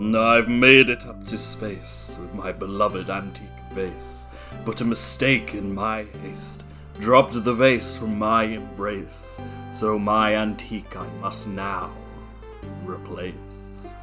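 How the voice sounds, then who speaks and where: Over clear background music, a woman puts on a character voice pitched very deep and low, speaking at a fairly slow pace. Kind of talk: video game character voice.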